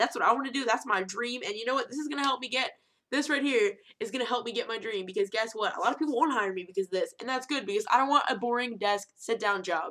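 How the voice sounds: A woman's fast, fairly high-pitched voice with a bright, sharp tone and ordinary pitch variation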